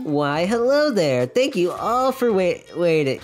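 A man puts on a character voice pitched high, swinging very widely in pitch at a fairly slow pace over light background noise. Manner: cheerful, playful.

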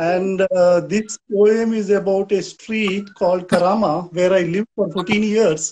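Speaking in a Goan accent, a man uses a high pitch and a flat monotone at a fairly slow pace. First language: Konkani. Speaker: poet. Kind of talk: poem performed in Konkani. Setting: video call, live stream. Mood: calm, friendly. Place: home room. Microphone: video call.

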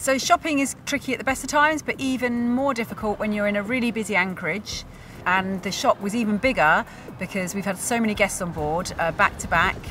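With music in the background, the speaker talks at a fairly quick pace with lively intonation, the sound dry and free of echo. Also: woman. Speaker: sailing family vlogger. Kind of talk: casual vlog narration. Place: waterside. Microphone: phone near.

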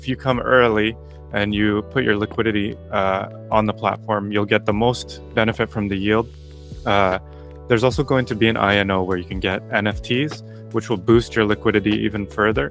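With faint music in the background, a man talks in a dry voice with no echo. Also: fairly low pitch for a man, ordinary pitch variation, moderate pace. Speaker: guest. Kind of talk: interview answer. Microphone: studio mic.

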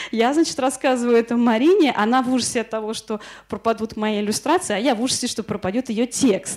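A woman speaking at a very fast pace, ordinary pitch variation, quiet background. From Moscow, Russia. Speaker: illustrator and workshop lecturer. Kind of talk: lecture. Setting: workshop in front of an audience. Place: classroom. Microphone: handheld.

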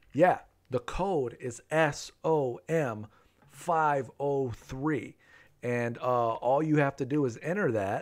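Ordinary pitch variation runs through a man's speech. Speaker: game streamer. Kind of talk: live stream game commentary.

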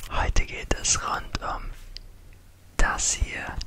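At a very slow pace, a man whispers his words. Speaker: ASMR creator. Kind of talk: ASMR trigger video talk. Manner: whispered. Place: home room. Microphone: studio mic.

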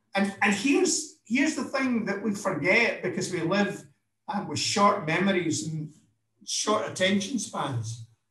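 A man with a Scottish accent speaks at a high pitch and a fairly slow pace. The background is quiet, though room echo is audible. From Scotland. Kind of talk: impassioned speech. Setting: video call. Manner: animated. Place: office. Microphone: webcam.

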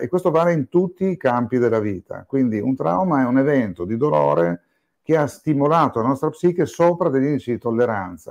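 Over a quiet background, a man at a medium pitch talks at a fairly quick pace with very wide pitch swings. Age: 60s. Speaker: psychiatrist and psychotherapist. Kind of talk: interview.

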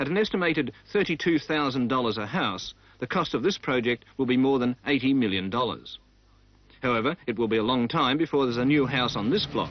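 Speaking at a fairly quick pace with lively intonation, a man sounds dry, with no echo. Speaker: news reporter. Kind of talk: news report narration.

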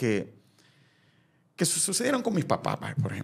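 A man talks with a Salvadoran accent and some vocal fry. His pitch swings very widely. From El Salvador. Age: 40s. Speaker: former TV presenter. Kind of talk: casual interview chat.

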